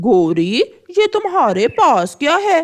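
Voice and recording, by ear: A cartoonish character voice that sounds female sits at a high pitch. It swings very widely in pitch.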